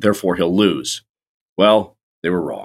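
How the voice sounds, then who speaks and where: In an American accent, a man talks at a fairly quick pace with a fairly low pitch and an ordinary speaking voice, on a very clean recording with a silent background. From Florida. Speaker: political journalist. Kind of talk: casual interview.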